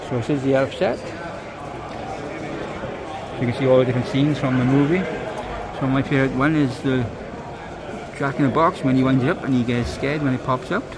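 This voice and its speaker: Fairly quick speech with noticeable noise in the background. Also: man. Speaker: LEGO reseller vlogger. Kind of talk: casual vlog commentary. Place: hall. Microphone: phone near.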